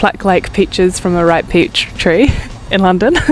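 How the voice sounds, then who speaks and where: Music plays in the background as a woman speaks with a New Zealand accent. Her voice is fairly low, and her pace is moderate. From New Zealand, Christchurch. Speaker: potter and video creator. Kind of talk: casual vlog talk to camera.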